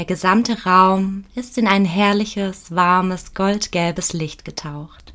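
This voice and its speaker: A woman speaks at a very slow pace and a medium pitch in a calm, soothing tone. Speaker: meditation guide. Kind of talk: guided meditation. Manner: slow, calm, soothing; soft-spoken, gentle, with long pauses.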